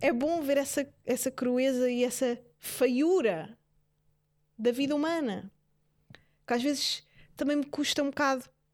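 Speaking at a fairly slow pace with long, frequent pauses, a woman sounds animated, her voice high and in a European Portuguese accent. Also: ordinary pitch variation. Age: 20s. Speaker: podcast host. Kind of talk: casual monologue.

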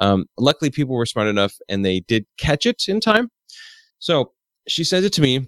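A man of medium pitch makes very wide pitch swings. The recording is very clean, with a silent background and a dry, close sound with no echo. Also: moderate pace. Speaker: tech podcast host. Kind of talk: casual chat.

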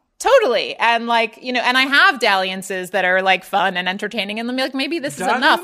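A woman speaks fairly quickly with lively intonation. Noticeable background noise is present. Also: fairly high pitch for a woman, hardly any pauses. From US Mid-Atlantic (Baltimore). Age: 30s. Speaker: writer and editor. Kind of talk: casual chat interview.

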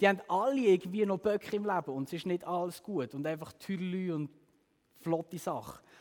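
Talking at a very fast pace, a man has a high voice and an animated tone. His pitch varies in an ordinary way. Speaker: youth preacher. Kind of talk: sermon.

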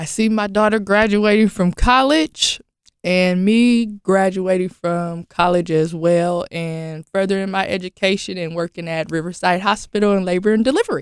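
With hardly any pauses, a woman speaks at a moderate pace and medium pitch with ordinary pitch variation, an unremarkable speaking voice captured in a dry, close sound with no echo. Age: 30s. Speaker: formerly homeless single mother. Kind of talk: interview.

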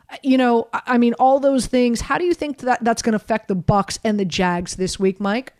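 In an American accent, a woman with an unremarkable speaking voice and fairly high pitch talks at a moderate pace with ordinary pitch variation and hardly any pauses, in a dry, close sound with no echo. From US South, Miami. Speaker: sports radio host. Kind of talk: sports talk radio.

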